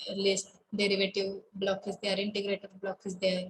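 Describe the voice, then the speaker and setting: A woman speaks in a somewhat breathy voice over light background noise. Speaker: college lecturer. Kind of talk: online class lecture. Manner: halting, many fillers. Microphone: webcam.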